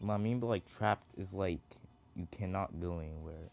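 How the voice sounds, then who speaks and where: Music plays behind a man who talks fairly quickly at a very deep, low pitch with ordinary pitch variation. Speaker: gaming youtuber. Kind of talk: gameplay commentary. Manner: halting, filler-heavy.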